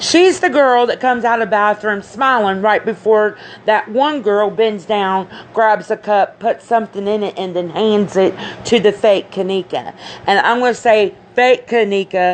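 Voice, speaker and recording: Moderate pace and ordinary pitch variation from a woman at medium pitch, amid noticeable background noise. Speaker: conspiracy commentator. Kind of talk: casual monologue. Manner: halting.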